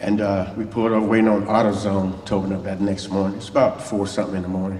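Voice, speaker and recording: A man with a fairly low pitch speaks in a monotone, flat way, with audible room echo and noticeable background noise. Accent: strong Southern US. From US South, Mobile, Alabama. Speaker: church guest speaker, former musician. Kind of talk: testimony. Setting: church. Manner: fast.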